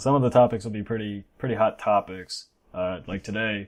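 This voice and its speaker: This man has a fairly low pitch and fairly even intonation, and he talks at a fairly quick pace. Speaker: gaming website owner. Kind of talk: casual chat. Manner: monotone.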